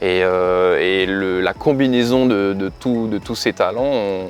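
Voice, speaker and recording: A man's fairly low voice with music playing in the background. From New Caledonia. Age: 30s. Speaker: dancer and dance teacher. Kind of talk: casual interview. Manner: hesitant, many fillers.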